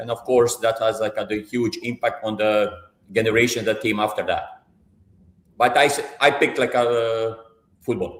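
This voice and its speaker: In a Croatian accent, a man speaks at a moderate pace with a medium pitch and flat, monotone intonation. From central Croatia (Bjelovar). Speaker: football coach. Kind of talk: live interview. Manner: hesitant, many fillers and repetitions.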